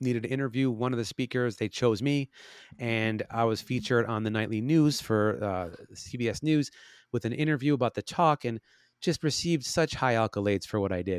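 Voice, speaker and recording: Someone with an American accent and a normal speaking voice talks at a fairly quick pace with ordinary pitch variation, on a very clean recording with a silent background and a dry, close sound with no echo. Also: man. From Chicago. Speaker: actor, musician and cancer survivor. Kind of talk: interview.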